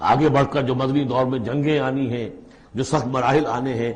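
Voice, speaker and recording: A man speaks in a plain, everyday voice. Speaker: Islamic scholar giving a Quran lecture. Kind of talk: Quran exegesis lecture in Urdu. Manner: explanatory, lecturing.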